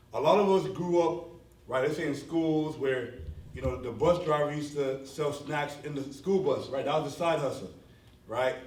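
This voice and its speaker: There is audible room echo as a man speaks at a fairly high pitch with ordinary pitch variation. His pace is moderate. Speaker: business speaker. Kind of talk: conference talk to a live audience. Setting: stage with audience. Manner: animated.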